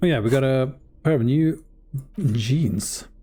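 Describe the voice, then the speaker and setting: This man speaks at a very slow pace with a non-native accent, his voice medium in pitch and dark and mellow in tone. His pitch varies in an ordinary way, and the recording is very clean with a silent background. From Sweden. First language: Swedish. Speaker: game streamer. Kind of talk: live gameplay commentary. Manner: casual, reading game text aloud.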